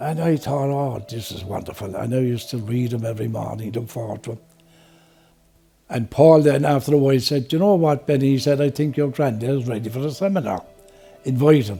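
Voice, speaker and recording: Somewhat breathy and dark, mellow in tone, a man with a Limerick accent speaks at a medium pitch. He talks at a fairly quick pace with ordinary pitch variation. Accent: Irish (Limerick). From Ireland, Limerick. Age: 70s. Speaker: retiree, seminar attendee. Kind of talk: interview testimony.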